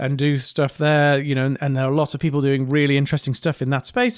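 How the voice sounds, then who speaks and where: A man with a northeast English accent speaks at a fairly quick pace. His pitch is fairly high, and the recording is very clean with a silent background. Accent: mild northeast English. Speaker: podcast host, engineer. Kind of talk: casual podcast monologue. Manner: hesitant, many fillers.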